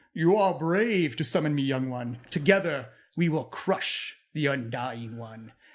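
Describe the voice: Against a quiet background, a man puts on a rumbling character voice with a fairly high pitch, speaking at a moderate pace.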